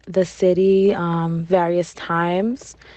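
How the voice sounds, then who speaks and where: Over noticeable background noise, a woman at a medium pitch speaks very slowly in a monotone, flat way. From Barranquilla, Colombia. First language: Spanish. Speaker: interviewee. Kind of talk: interview.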